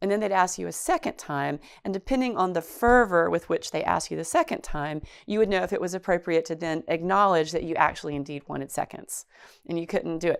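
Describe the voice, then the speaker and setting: A very fast voice with a North Carolina accent and ordinary pitch variation, on a very clean recording with a silent background. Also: woman. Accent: North Carolina Southern. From Chatham County, North Carolina. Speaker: oral history interviewee. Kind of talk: interview.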